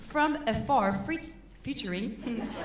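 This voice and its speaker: A high-pitched woman speaks with very wide pitch swings. Audible room echo and noticeable background noise surround her voice. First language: French. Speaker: concert MC. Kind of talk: stage announcement. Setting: stage with audience. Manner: halting.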